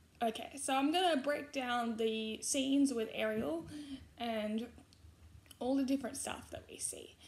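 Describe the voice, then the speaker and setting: Speaking with an Australian accent, a woman has a high pitch and ordinary pitch variation. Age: 20s. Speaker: YouTuber. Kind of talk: casual vlog commentary. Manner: halting, frequent fillers.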